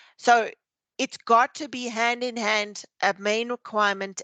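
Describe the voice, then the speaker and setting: This woman's voice has a bright, sharp tone and fairly even intonation. The sound is dry and close, with no echo. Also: quiet background. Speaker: teacher and educator trainer. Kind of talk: webinar lecture. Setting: video call webinar.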